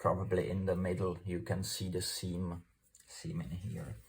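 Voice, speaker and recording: The man's very deep, low voice carries vocal fry. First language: Czech. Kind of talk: tutorial. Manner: halting.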